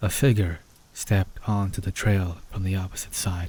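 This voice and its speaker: A man speaks at a moderate pace in a fairly low pitch with a calm tone. His voice is somewhat breathy, with a dark, mellow tone. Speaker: story narrator. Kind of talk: asmr horror story narration for sleep. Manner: soft-spoken, calm.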